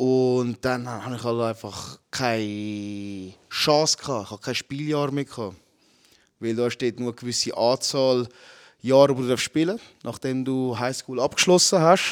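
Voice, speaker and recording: With an ordinary speaking voice, a man talks at a fairly slow pace, his medium pitch showing ordinary variation. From Switzerland, Zurich. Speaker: MMA fighter. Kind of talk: casual chat.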